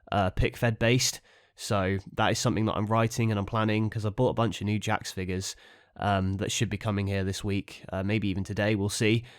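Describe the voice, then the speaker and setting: Speaking at a fairly quick pace, a man with a fairly low voice holds a monotone, flat delivery on a very clean recording with a silent background. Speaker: wrestling figure podcast host. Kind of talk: casual solo podcast. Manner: hesitant with many fillers.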